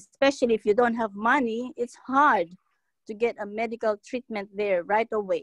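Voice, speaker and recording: At a moderate pace, a woman speaks at a fairly high pitch with ordinary pitch variation, the sound dry with no echo and the background quiet. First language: not English. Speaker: church member. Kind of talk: testimony. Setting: video call. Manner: halting. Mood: earnest, grateful. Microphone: video call.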